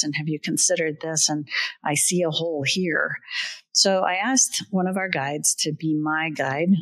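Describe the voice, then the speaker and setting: A woman with a plain, everyday voice speaks at a fairly low pitch, her intonation fairly even. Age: 60s. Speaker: podcast host, business consultant. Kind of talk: podcast conversation, storytelling.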